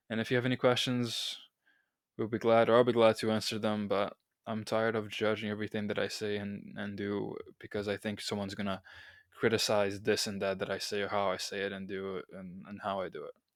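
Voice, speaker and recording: At a fairly quick pace, a man with a non-native accent speaks in a fairly low, flat monotone. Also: very clean recording, silent background. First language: not English. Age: 20s. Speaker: podcast host and college student. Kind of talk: solo podcast monologue. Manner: halting, with self-corrections.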